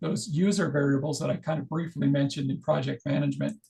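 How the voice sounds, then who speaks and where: A somewhat breathy voice belongs to a man. He talks very fast. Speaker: fire science software trainer. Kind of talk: tutorial. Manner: halting.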